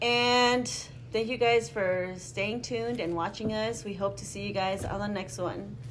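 A woman's fairly slow speech with very wide pitch swings over noticeable background noise. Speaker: podcast co-host. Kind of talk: casual chat. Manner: animated.

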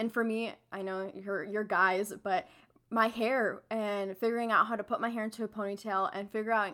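A woman's medium-pitched voice with a Midwestern American accent, fairly quick in pace and fairly even in intonation. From Missouri, St. Louis. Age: 20s. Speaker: university student. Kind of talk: casual chat.

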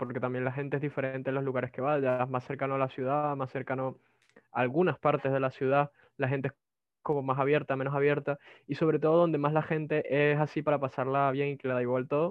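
Fairly quick, monotone speech with flat intonation in a Venezuelan accent. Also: man. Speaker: migrant telemarketer and programming student. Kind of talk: casual interview. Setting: video call.

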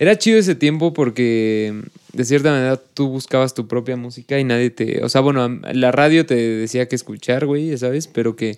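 At a moderate pace, a man talks at a medium pitch with ordinary pitch variation in a normal speaking voice. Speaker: podcast co-host. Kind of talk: casual chat.

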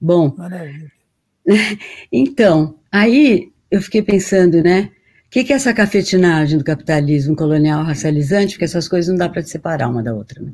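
A woman with a dark, mellow tone and a fairly low pitch talks at a moderate pace. Her intonation is lively, and the recording is very clean with a silent background. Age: 70s. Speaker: professor and moderator. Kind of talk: casual intellectual conversation.

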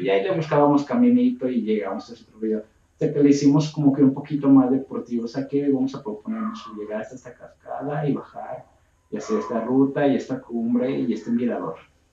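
A man talks at a very fast pace with hardly any pauses. His intonation is lively and his loudness swings widely. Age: 20s. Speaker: hiking group leader. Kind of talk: casual chat.

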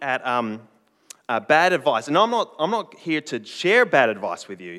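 This man has a bright, sharp tone and a fairly high pitch with very wide pitch swings. He talks at a moderate pace. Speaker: preacher. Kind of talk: sermon. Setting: church stage with congregation.

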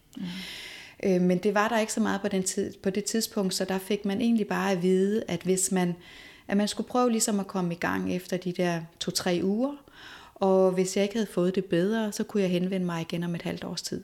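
Over a very clean recording with a silent background, a woman speaks in a normal speaking voice at a moderate pace, her pitch medium and her intonation fairly even. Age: 40s. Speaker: movement teacher, former nurse. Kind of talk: interview conversation.

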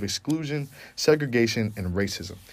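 On a very clean recording with a silent background, the speaker talks at a moderate pace with lively intonation and an American accent. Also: man. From Long Island, New York. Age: 20s. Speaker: college student podcast host. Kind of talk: casual chat.

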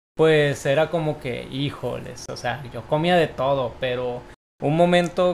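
The delivery moves at a fairly slow pace. It is a plain, everyday voice. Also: man. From Mexico, Tijuana. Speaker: podcast host. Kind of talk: casual chat.

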